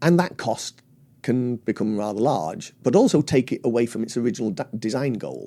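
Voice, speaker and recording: Medium-pitched male voice, dark and mellow in tone, with vocal fry and lively intonation. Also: moderate pace. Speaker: loudspeaker designer. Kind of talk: interview answer. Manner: articulate.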